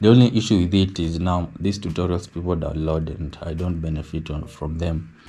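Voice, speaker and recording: A man speaks in a very deep, low pitch with a dark, mellow tone and a somewhat breathy quality. His intonation is fairly even, his pace fairly quick, with hardly any pauses. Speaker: architectural designer. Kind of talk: tutorial.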